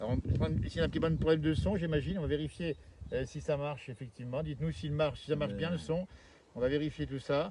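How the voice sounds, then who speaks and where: A man talks at a very fast pace. His fairly high-pitched voice has ordinary pitch variation. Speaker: TV presenter. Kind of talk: live TV interview. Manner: upbeat.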